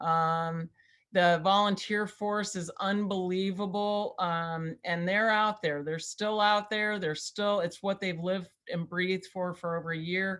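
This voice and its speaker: In a plain, everyday voice, a woman speaks fairly slowly at medium pitch with fairly even intonation. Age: 60s. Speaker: political campaign manager. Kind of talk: interview.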